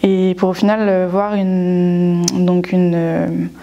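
A woman at a medium pitch, with monotone, flat intonation. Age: 20s. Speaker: former student, livestock research technician. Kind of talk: testimony. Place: classroom.

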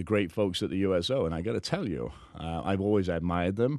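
Over a quiet background, a man speaks at a fairly quick pace in a very deep, low pitch, the sound dry with no echo. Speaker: guest. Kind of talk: interview answer. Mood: warm, earnest, grateful. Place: studio. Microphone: studio mic.

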